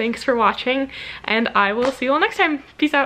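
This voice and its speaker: Against light background noise, a woman speaks in a high voice with ordinary pitch variation. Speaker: vlogger. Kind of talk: casual vlog chat. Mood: cheerful, relaxed. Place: home room. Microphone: phone near.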